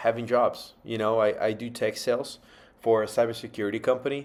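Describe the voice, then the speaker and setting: A man with a Portuguese accent at a moderate pace and medium pitch, in a very clean recording with a silent background. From Brazil. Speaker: vlogger. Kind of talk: casual monologue.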